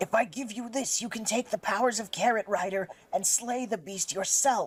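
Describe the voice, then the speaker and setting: A put-on character voice at a fairly high pitch moves along at a moderate pace. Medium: game stream. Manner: theatrical, old-fashioned.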